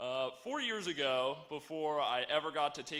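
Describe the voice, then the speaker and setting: A man talks with an American accent in a bright, sharp tone. His pace is fairly slow. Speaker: graduating student speaker. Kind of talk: commencement speech. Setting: stage with audience.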